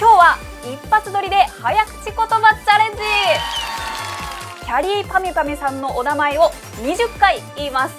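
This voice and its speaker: This woman's pitch is extremely high, with very wide swings. She keeps a moderate pace while clear music plays in the background. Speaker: news caster. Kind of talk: casual talk to camera. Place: studio.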